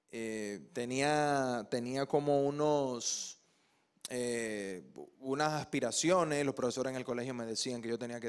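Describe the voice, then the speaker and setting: Fairly slow speech from a man, medium in pitch, with ordinary pitch variation. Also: quiet background. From Dominican Republic, Santo Domingo; Dominican Republic. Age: young. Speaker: actor and TV presenter; actor, TV presenter. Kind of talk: TV interview. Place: studio. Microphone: handheld.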